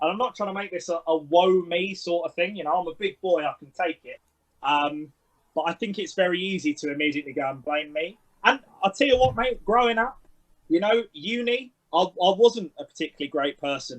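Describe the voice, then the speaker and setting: A man with a London accent speaks fairly quickly in a high voice, his intonation lively and his loudness swinging widely. The sound is dry and close, with no echo. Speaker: sports coach. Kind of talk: interview.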